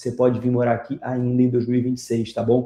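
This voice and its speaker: Somewhat breathy and dark, mellow in tone, a man at medium pitch speaks fairly quickly with a Rio de Janeiro accent. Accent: Rio de Janeiro (carioca) Portuguese. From Brazil, Rio de Janeiro. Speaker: immigration consultant YouTuber. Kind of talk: vlog explainer with sales pitch. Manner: animated.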